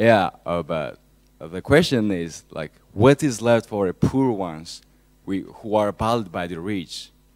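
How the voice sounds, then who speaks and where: A man's fairly low voice at a very slow pace, with lively intonation and big swings in loudness, over a quiet background. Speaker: audience member asking a question at a university lecture. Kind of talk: audience question at a public lecture. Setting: lecture hall. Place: classroom.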